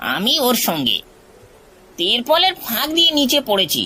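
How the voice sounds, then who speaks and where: A cartoonish character voice, high in pitch, at a fairly slow pace. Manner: grumbling, blustering.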